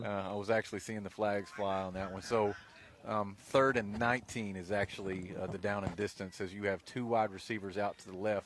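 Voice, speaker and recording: A man with a plain, everyday voice speaks at a moderate pace and a fairly low pitch. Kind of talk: live sports radio play-by-play. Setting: outdoors at a football stadium, in the corner of the end zone.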